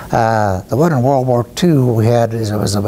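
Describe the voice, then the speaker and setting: Noticeable background noise sits under a man with a Midwestern US accent. His pitch is medium, with ordinary pitch variation. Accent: rural Midwestern American. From Iowa, US Midwest. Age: 80s+. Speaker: war veteran. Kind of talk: interview testimony. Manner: halting, with many fillers.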